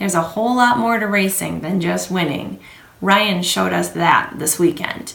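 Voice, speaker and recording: A woman talks at a fairly slow pace in a medium pitch, with ordinary pitch variation. Noticeable background noise and audible room echo fill the recording. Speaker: realtor. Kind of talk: scripted market update video.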